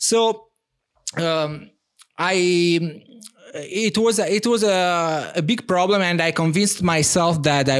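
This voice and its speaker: A man speaks in an Italian accent. His pitch varies in an ordinary way. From Italy. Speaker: language company co-founder. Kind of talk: casual interview. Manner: hesitant, filler-heavy.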